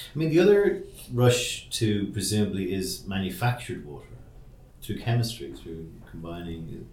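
Fairly low-pitched male voice, somewhat breathy, with lively intonation and big swings in loudness. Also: moderate pace. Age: 40s. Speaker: podcast host. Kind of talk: casual chat. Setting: office.

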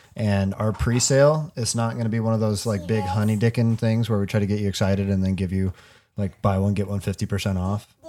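A man talking very fast, fairly low in pitch, with fairly even intonation. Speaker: podcast host. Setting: basement home recording. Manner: casual, loud, swears often.

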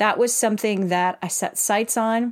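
On a very clean recording with a silent background, a woman talks in an animated tone. Her pitch is medium with ordinary variation, and her pace is moderate. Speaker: career and life coach, podcast host. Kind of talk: solo motivational podcast talk.

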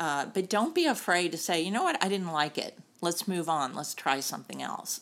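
In an American accent, a woman with a fairly low pitch talks at a moderate pace with ordinary pitch variation in an unremarkable speaking voice. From US South, North Carolina. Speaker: sports tech executive and board member. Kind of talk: interview.

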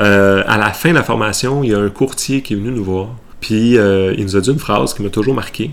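With a Quebec accent, a man speaks at a fairly quick pace in a fairly low pitch with ordinary variation. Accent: Québécois French. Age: 30s. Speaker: waste management consultant. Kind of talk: interview.

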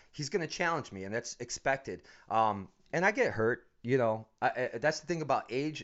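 A man with an American accent and a normal speaking voice, moderate pace, ordinary pitch variation. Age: 40s. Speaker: MMA gym owner and coach. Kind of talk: casual interview.

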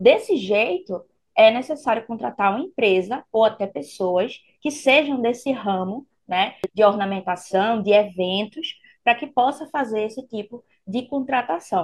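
A woman speaks at a fairly slow pace and a fairly high pitch, sounding somewhat breathy. Her intonation is lively, and the background is quiet. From Pernambuco, Brazil. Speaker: public procurement instructor. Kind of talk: explanatory interview chat.

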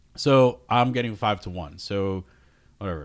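The man's pitch shows ordinary variation. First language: not English. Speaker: poker player and podcast co-host. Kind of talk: casual chat.

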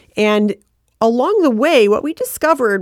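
This woman speaks with an American accent at a moderate pace, her pitch swinging very widely. The sound is dry and close, with no echo. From Michigan (Flint). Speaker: arts council leader. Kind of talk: interview. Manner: hesitant, many fillers.

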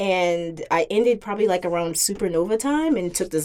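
A plain, everyday voice from a woman with an American accent, medium in pitch, at a moderate pace. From Virginia, US (Hampton area). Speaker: rhythm game community organizer. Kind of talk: casual podcast chat.

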